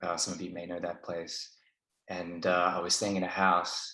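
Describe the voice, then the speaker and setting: A man speaks at a fairly quick pace with an Australian accent. His pitch is very deep and low. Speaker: didgeridoo student. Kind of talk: casual chat.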